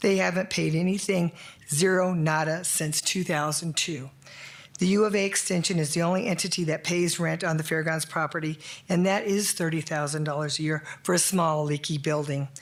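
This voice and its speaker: At a moderate pace, a woman speaks with a fairly low pitch and fairly even intonation. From Arizona, US (Prescott). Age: 60s. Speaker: member of the public giving comment. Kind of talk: public comment at council meeting. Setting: city council chamber.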